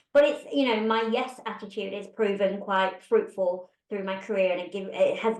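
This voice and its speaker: A woman speaks at a moderate pace with a British accent. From UK. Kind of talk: interview conversation. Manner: animated.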